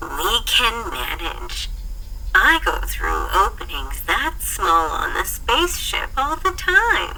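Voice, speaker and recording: At a very slow pace, a woman performs a put-on character voice over clear background noise. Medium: read story. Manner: warm, confident.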